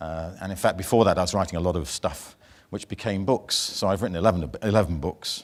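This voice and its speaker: A man with a British accent and a very deep, low pitch, ordinary pitch variation, on a very clean recording with a silent background. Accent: British accent, noticeable to NZ audience. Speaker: banking industry speaker and author. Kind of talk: conference keynote. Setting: stage with audience at conference.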